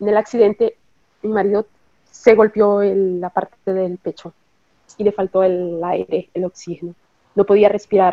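With monotone, flat intonation, a woman speaks at a fairly slow pace, leaving long, frequent pauses. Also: medium pitch for a woman. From Nicaragua, then Costa Rica. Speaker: bereaved mother, hospital worker. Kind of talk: interview testimony.

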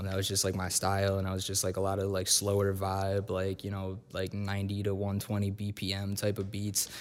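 Fairly quick in pace, a man speaks with an American accent and a fairly low pitch. His is an unremarkable speaking voice. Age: 20s. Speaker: rapper. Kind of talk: casual interview. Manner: casual, many fillers.

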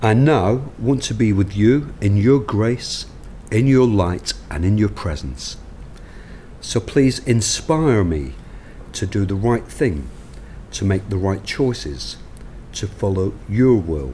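Speaking very slowly with a London accent, a man has a fairly low pitch. Long pauses come often. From London, England. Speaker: recovery speaker sharing story. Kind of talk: recovery share, personal testimony.

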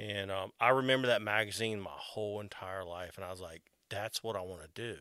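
Speaking at a fairly quick pace in a Southern US accent, a man has a fairly low pitch and a bright, sharp tone. His intonation stays fairly even while his loudness swings widely. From US South. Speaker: artist. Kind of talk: casual chat.

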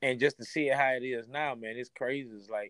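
In an American accent, a man speaks fairly quickly at a medium pitch, the sound dry and close with no echo. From Baton Rouge, Louisiana. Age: 40s. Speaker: DJ. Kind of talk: phone interview. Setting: phone call.

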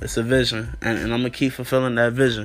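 A man with an American accent talks in a flat monotone at medium pitch. Noticeable background noise is present. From US Mid-Atlantic (DC area, Northern Virginia). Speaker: podcast host, college student. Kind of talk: casual vlog monologue. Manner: talkative.

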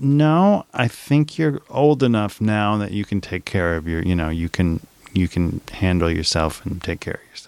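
In a very clean recording with a silent background and a dry, close sound with no echo, a man with an American accent uses a normal speaking voice at a fairly low pitch, moderate pace and lively intonation. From New Orleans, US South. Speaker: podcast guest, writer. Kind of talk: casual chat.

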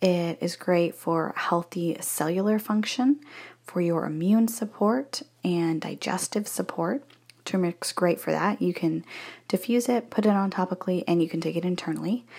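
Soft-spoken and at a medium pitch, a woman talks at a moderate pace with ordinary pitch variation in a very clean recording with a silent background. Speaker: essential oil seller and podcaster. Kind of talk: sales pitch. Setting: bathroom at in-laws' house. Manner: casual.

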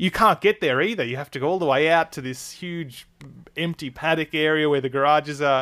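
In a very clean recording with a silent background, a man with an Australian accent speaks at a fairly quick pace, his fairly high pitch carrying a bright, sharp tone with ordinary pitch variation and a dry, close sound with no echo. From Australia, Melbourne. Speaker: F1 journalist and podcast host. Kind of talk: casual interview.

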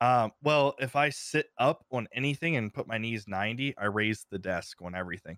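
A normal speaking voice from a man, lively in intonation and moderate in pace with hardly any pauses, on a very clean recording with a silent background and a dry, close sound with no echo. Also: medium pitch for a man. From Ohio. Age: 30s. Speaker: streamer and content creator. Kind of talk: casual interview chat.

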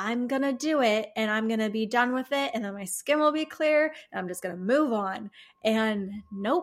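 A woman with an unremarkable speaking voice talks at a fairly high pitch and moderate pace with lively intonation, in a very clean recording with a silent background. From US Midwest, Chicago. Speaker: herbalist and alternative health practitioner. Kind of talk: casual interview chat.

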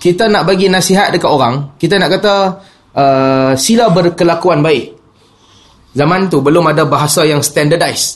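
A man talks in an ordinary speaking voice. His pitch is fairly high, with ordinary variation. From Penang, Malaysia. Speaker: Islamic preacher. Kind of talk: religious lecture.

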